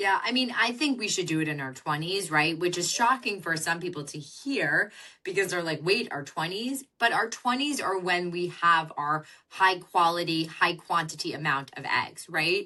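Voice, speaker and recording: A loud woman's voice, fairly low in pitch, bright and sharp in tone, with lively intonation. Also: moderate pace. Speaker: fertility doctor and author. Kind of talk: podcast interview.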